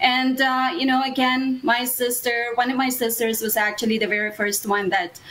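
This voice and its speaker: A woman speaks at a moderate pace in a high voice, her intonation fairly even and her loudness very even. Noticeable background noise runs underneath. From Philippines. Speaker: immigration consultant. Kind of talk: interview.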